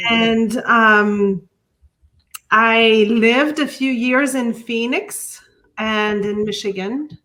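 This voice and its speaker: Speaking very slowly with a Quebec accent, a woman uses a fairly high pitch and fairly even intonation. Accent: French Canadian accent in English. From Quebec City, French Canada. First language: French. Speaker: artist and art teacher. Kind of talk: interview. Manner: halting, many fillers and restarts.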